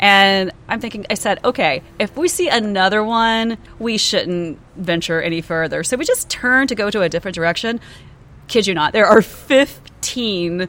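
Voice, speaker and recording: A woman's normal speaking voice at medium pitch, moderate in pace, with lively intonation. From US South, Georgia. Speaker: podcast co-host. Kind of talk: casual chat.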